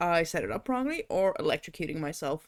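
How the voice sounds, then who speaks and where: Speaking at a moderate pace with a non-native accent, a woman with a fairly low pitch has an animated tone, recorded very cleanly against a silent background. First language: not English. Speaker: VTuber streamer. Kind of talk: casual chat.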